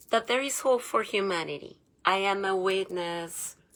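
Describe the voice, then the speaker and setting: On a very clean recording with a silent background, a woman with a non-native accent speaks at a medium pitch and fairly slow pace, with ordinary pitch variation. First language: not English. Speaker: conspiracy vlogger. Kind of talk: casual monologue vlog. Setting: home bedroom. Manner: animated; hesitant with filler sounds.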